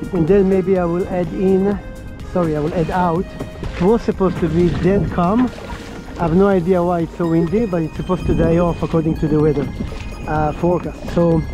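A woman's fairly low voice at a fairly quick pace, with fairly even intonation, clear background music and a dry sound with no echo. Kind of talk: casual vlog chat. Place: boat. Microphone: helmet.

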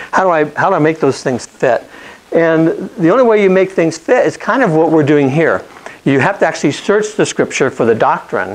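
A man with a high-pitched voice talks fairly quickly with lively intonation. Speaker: bible class teacher. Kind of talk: lecture. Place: classroom.

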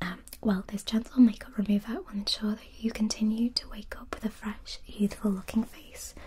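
Soft-spoken but with big swings in loudness, a woman talks at a moderate pace with hardly any pauses over light background noise. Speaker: ASMR creator. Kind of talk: soft-spoken casual product chat. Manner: soft, hushed ASMR speaking voice.

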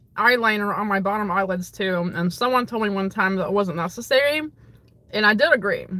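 The woman's voice comes at a moderate pace, with a dry sound and no echo. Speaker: streamer answering viewer questions. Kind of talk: casual livestream Q&A chat. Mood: friendly, relaxed. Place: car. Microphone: phone near.

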